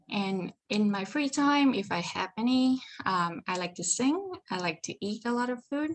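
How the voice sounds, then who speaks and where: Somewhat breathy and fairly high-pitched, a woman with a slight Vietnamese accent talks at a fairly slow pace with lively intonation and hardly any pauses. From Vietnam, Ho Chi Minh City. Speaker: psychology PhD student. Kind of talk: presentation.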